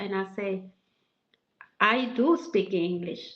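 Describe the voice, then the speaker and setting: With a strong Mexican accent, a woman talks at a very slow pace with ordinary pitch variation. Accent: heavy Mexican Spanish. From Mexico. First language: Spanish. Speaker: massage therapist. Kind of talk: interview.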